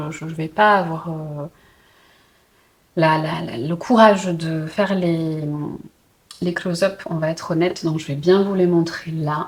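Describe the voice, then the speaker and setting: Here a woman speaks in a fairly low pitch at a fairly slow pace. Her pitch varies in an ordinary way. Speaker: puzzle and book vlogger. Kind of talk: casual vlog. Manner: hesitant, many fillers.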